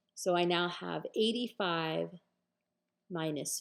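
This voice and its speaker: Speaking at a fairly slow pace, a woman uses lively intonation and a fairly low pitch. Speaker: math instructor. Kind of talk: lecture.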